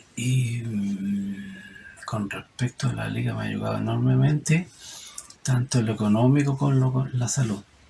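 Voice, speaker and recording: Moderately paced speech from a man, noticeable background noise behind it. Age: 60s. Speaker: epilepsy patient. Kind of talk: testimony.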